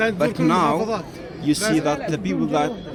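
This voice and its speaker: Crowd noise fills the background and the room echo is audible. A man speaks at a fairly slow pace with a fairly high pitch. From Syria. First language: Arabic. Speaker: sales manager, passerby. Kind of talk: casual street interview.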